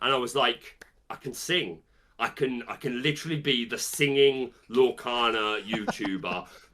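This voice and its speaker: A man talks at a medium pitch with a British accent. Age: 30s. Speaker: trading card game content creator and musical theatre performer. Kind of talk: interview. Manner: halting.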